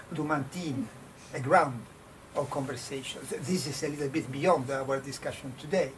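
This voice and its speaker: A man with an Italian accent, fairly high in pitch and fairly even in intonation, with audible room echo and noticeable background noise. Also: moderate pace. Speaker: design professor. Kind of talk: panel discussion. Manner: halting.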